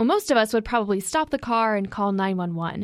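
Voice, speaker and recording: On a very clean recording with a silent background, a woman with an ordinary speaking voice talks at a fairly high pitch and lively intonation. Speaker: journalism intern. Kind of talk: scripted narration.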